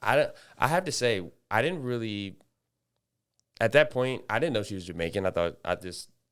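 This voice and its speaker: Very wide pitch swings in an American accent, at a moderate pace with long, frequent pauses. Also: man, medium pitch for a man. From US South, Atlanta. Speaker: podcast co-host, former college athlete. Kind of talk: casual chat.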